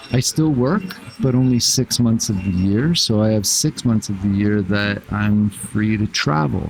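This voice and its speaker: Noticeable background noise sits behind a man speaking at a fairly slow pace in a fairly low pitch. His loudness stays very even, and his pitch varies in an ordinary way. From Canada. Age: 60s. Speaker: traveler. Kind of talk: casual chat. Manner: halting, many fillers.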